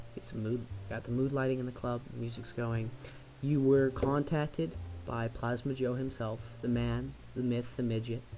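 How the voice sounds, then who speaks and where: Soft-spoken at a moderate pace, the voice keeps a fairly even intonation over music in the background. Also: man, medium pitch for a man. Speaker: tabletop game master. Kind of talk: tabletop game narration.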